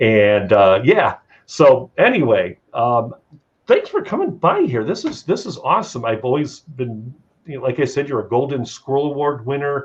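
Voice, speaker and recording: Somewhat breathy and fairly high-pitched, a man with a Chicago accent speaks at a moderate pace with lively intonation. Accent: Chicago American. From Chicago area, US Midwest. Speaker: talk show host. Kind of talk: casual talk show interview. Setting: live stream.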